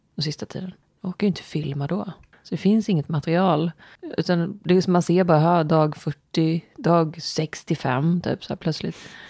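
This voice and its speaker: A soft-spoken woman's fairly low, dark and mellow voice with fairly even intonation at a moderate pace, dry and close with no echo. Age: 40s. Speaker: podcast co-host. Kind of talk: casual chat.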